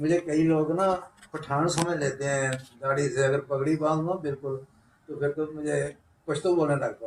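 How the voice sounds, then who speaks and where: Fairly high in pitch and fairly even in intonation, a man talks in an unremarkable speaking voice. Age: 60s. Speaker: trader association leader, interviewer. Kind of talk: interview podcast.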